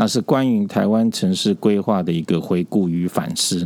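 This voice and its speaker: The speaker is a man with a fairly low pitch and ordinary pitch variation. He uses a plain, everyday voice at a moderate pace. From Taipei, Taiwan. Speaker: urban planning professor. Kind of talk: interview.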